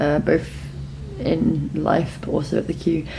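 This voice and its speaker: Noticeable background noise and audible room echo accompany the woman's voice. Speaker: travel vlogger. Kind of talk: casual chat. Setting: restaurant. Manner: fast.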